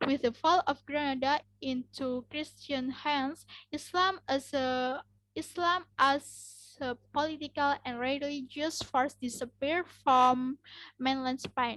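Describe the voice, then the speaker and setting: A woman with an Indonesian accent talks at a very slow pace in a high voice with fairly even intonation. The sound is dry and close, with no echo. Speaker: university student. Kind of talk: class presentation. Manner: halting.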